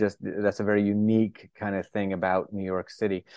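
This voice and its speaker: A normal speaking voice with an American accent. It moves at a fairly quick pace. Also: man. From northern Florida, US. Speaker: neurologist and psychiatrist. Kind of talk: interview.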